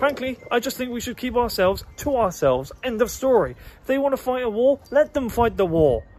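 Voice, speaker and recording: A man with a British accent, extremely high in pitch, at a fairly quick pace with ordinary pitch variation. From Britain. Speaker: political podcaster. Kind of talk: opinion rant monologue. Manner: animated.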